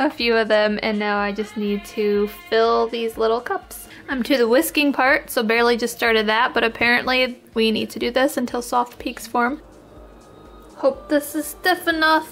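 A woman talks at a moderate pace with ordinary pitch variation and high pitch. Light background noise can be heard. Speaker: home cook vlogger. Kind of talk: casual vlog chat. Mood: relaxed, mildly doubtful. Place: kitchen. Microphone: phone near.

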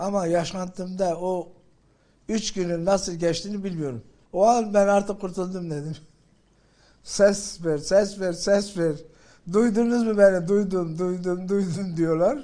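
Against a quiet background, a man with a dark, mellow tone and a high pitch talks at a very slow pace with fairly even intonation. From Gaziantep, Islahiye. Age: 70s. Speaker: earthquake survivor, former farmers' chamber president. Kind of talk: interview answer. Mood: emotional recounting of rescue. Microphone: handheld.

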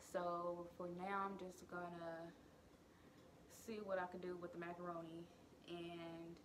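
A woman's fairly low voice at a fairly slow pace, monotone and flat, over noticeable background noise. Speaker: vlogger. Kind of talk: casual vlog chat. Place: kitchen. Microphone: phone near.

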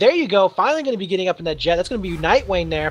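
The tone is animated and excited. There is noticeable background noise. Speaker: esports caster. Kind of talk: live esports commentary. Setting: online stream recording. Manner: animated, fast play-by-play, excited; tired after long casting.

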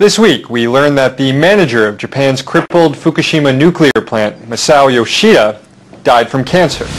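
Here a man speaks at a moderate pace. His intonation is lively. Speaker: talk show host. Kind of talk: interview. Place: studio.

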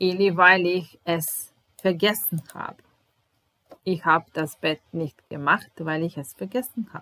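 A woman with a Serbian accent speaks at a fairly slow pace and a fairly low pitch, her loudness swinging widely. The sound is dry, with no echo. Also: ordinary pitch variation. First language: Serbian (speaking German). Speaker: German language teacher. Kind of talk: language lesson. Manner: slow, repetitive. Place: home room. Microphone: webcam.

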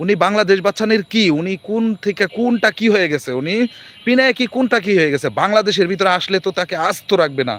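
A man talks in a high pitch, with ordinary pitch variation. The sound is dry and close, with no echo. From Bangladesh. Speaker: livestreamer, garment worker. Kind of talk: live-stream monologue. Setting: live stream. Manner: halting, repetitive.

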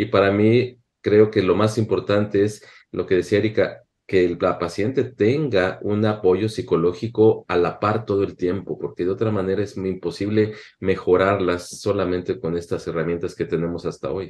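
Fairly even intonation from a man speaking at a moderate pace. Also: fairly low pitch for a man. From Mexico. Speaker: physician, panel expert; panelist. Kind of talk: panel discussion. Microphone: webcam.

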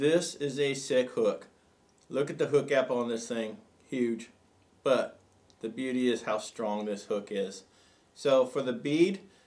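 A man speaks at a fairly slow pace with ordinary pitch variation and long, frequent pauses. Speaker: fly tying instructor. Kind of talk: tutorial. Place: studio.

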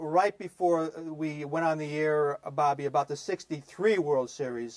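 Over a quiet background, a man speaks with an American accent. His pace is fairly slow. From US Northeast. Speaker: sports show host. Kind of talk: interview. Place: studio. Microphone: lapel.

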